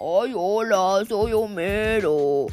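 Someone puts on a character voice. It sits at a fairly high pitch. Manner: goofy, lazy.

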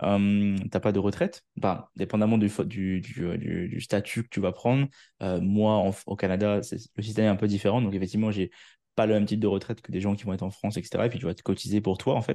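A man with a dark, mellow tone speaks at a fairly quick pace and fairly low pitch. His intonation stays fairly even against a quiet background. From Réunion. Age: 20s. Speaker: marketing entrepreneur. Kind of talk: interview.

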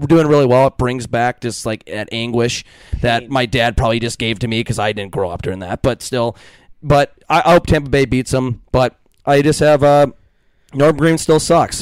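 A man with an ordinary speaking voice speaks at a moderate pace in an American accent, at medium pitch with ordinary pitch variation, in a dry, close sound with no echo. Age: 20s. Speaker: podcast host. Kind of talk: casual chat.

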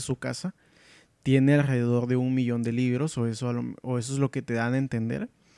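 In a very clean recording with a silent background, a man's dark, mellow tone comes through dry and close with no echo. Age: 20s. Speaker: podcast host. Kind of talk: casual solo podcast, book review. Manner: hesitant, many fillers.

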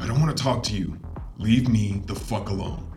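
A man does a put-on character voice at a moderate pace, fairly low in pitch, with a slight echo and clear background noise. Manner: menacing, curt.

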